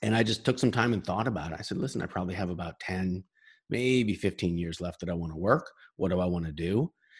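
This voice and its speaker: Against a quiet background, a man with an American accent speaks very fast in a very deep, low voice with ordinary pitch variation. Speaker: sales consultant and author. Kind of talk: interview. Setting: video call.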